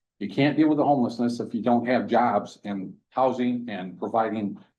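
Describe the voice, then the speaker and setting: The voice has a dark, mellow tone and keeps a moderate pace. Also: man. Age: 60s. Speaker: mayor. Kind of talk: public meeting discussion. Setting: council committee meeting room. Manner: hesitant, frequent fillers.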